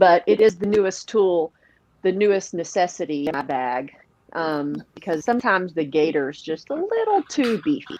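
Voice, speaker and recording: Very wide pitch swings at a moderate pace, in a Southern US accent. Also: woman, medium pitch for a woman. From Tennessee, near Nashville. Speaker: professional disc golfer. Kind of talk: podcast interview. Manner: animated.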